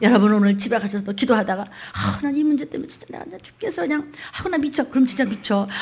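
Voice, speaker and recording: Talking at a very fast pace with hardly any pauses, a woman with a fairly high pitch and an animated tone swings widely in loudness over noticeable background noise. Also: lively intonation. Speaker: pastor. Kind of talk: sermon.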